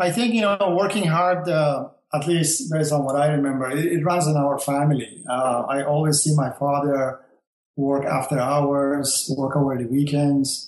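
The speaker keeps a moderate pace. The voice is in a Persian accent. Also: man, fairly high pitch for a man, ordinary pitch variation. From Iran. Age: 60s. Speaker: engineer, host's father. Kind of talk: interview. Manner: halting.

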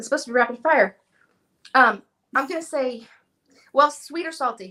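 A woman talks in a high pitch with a bright, sharp tone and ordinary pitch variation. Her speech has long, frequent pauses. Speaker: furniture painter and video creator. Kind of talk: casual interview chat.

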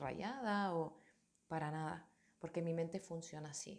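A woman's voice, fairly low in pitch. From Canary Islands, Tenerife. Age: 30s. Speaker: yoga teacher. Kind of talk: personal monologue. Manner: halting.

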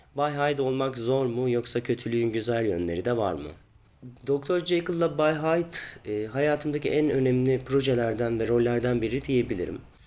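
Medium pitch, moderate pace and ordinary pitch variation in a man's voice, an unremarkable speaking voice. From Turkey, Ankara. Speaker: stage actor. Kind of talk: interview answers.

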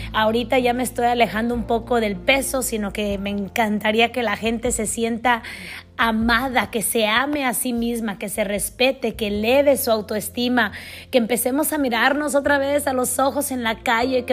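A woman with a high pitch speaks in an animated tone at a moderate pace. The recording is very clean, with a silent background. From Mexico. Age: 40s. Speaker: podcast host. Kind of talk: motivational monologue.

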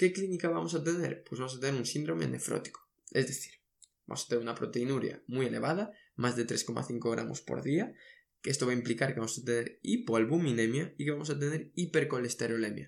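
A man speaks at a medium pitch with an ordinary speaking voice. His pace is fairly quick and his intonation lively. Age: 20s. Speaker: medical education podcaster. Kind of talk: lecture.

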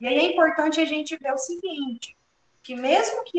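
A woman is speaking. Her intonation is lively. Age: 30s. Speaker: psychologist. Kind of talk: educational talk.

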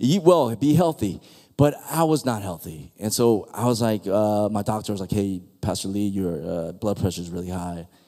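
A man's fairly low-pitched voice, dark and mellow in tone, with lively intonation at a moderate pace. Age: 40s. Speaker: guest pastor. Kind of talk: sermon. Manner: animated.

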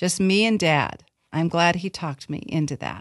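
Against a quiet background with a dry, close sound and no echo, a woman with a plain, everyday voice speaks at fairly low pitch and a fairly slow pace, with ordinary pitch variation. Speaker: podcast host. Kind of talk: casual chat.

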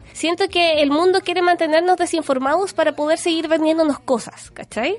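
Extremely high-pitched woman's voice in a Chilean accent, with noticeable background noise. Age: 30s. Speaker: beauty blogger. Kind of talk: casual chat. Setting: studio.

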